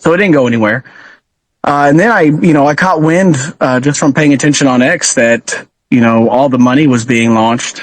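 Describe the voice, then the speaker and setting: A man with a slight Texan accent talks at a moderate pace in a fairly high voice. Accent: Texan twang, slight. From Texas. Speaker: truck driver and crypto community admin. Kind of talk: podcast interview. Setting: live audio chat space. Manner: hesitant, many fillers.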